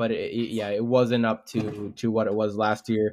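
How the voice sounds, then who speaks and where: Speaking at a moderate pace, a man has an unremarkable speaking voice at a medium pitch. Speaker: podcast co-host. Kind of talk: casual sports chat.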